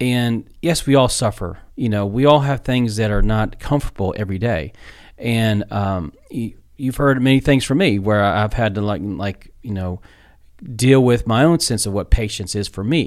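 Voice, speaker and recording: A man is speaking here. His pitch is medium and his pace is moderate. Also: ordinary pitch variation. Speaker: co-host. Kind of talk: casual conversation about faith. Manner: halting, repeats words.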